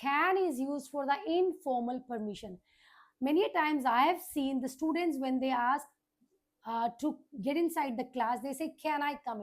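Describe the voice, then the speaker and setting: The speaker has an Indian accent and talks at a moderate pace with ordinary pitch variation. The recording is very clean, with a silent background. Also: woman, high pitch for a woman. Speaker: teacher. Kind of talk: lecture.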